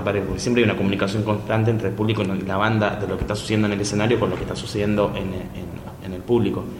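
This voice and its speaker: A man speaks in a fairly low voice with monotone, flat intonation. Audible room echo and noticeable background noise surround him. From Chile. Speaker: cumbia band member. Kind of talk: interview. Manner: halting.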